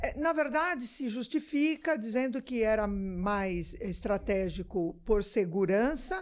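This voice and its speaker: A woman speaks at a very slow pace with hardly any pauses, her pitch swinging very widely. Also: fairly high pitch for a woman. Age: 60s. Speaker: political activist. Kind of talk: casual interview chat.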